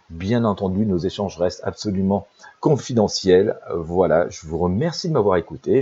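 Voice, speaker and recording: A man speaks at a moderate pace with lively intonation. His fairly low voice is somewhat breathy, with a dark, mellow tone. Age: 50s. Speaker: intuitive life coach and psychic. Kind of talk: promotional monologue. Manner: halting, many fillers.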